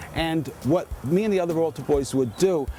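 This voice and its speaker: With a New York accent, a man talks at a fairly high pitch and a moderate pace. His pitch varies in an ordinary way, and noticeable background noise is present. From New York, the Bronx. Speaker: author. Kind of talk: casual walking tour narration. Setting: outdoors. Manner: animated.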